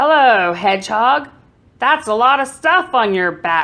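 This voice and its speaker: Putting on a character voice, a woman speaks high at a moderate pace over a quiet background. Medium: read story.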